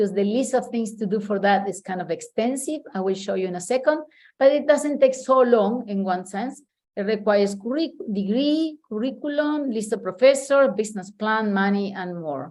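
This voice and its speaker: Against a quiet background, a woman speaks with a fairly high pitch and lively intonation. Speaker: meeting presenter. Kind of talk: presentation. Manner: fast.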